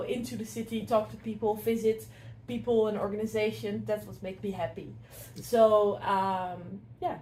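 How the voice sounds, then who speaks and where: Speaking at a moderate pace, a woman's voice rings with audible room echo. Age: 20s. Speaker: city councillor and candidate. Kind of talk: casual interview. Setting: council offices.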